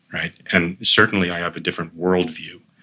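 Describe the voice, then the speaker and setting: This man speaks in a very deep, low pitch with a bright, sharp tone and a monotone, flat intonation. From Boston, US, with childhood time in Beirut. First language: Armenian. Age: 50s. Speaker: clean energy startup CEO. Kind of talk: interview. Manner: hesitant, with many fillers.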